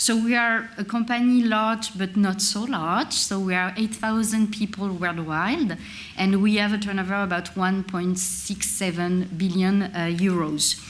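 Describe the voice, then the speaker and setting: At a fairly slow pace, a woman speaks at a medium pitch with fairly even intonation and hardly any pauses. Room echo is audible. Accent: French. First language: French. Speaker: industry representative at a conference. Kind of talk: conference presentation. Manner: hesitant, with many filler sounds.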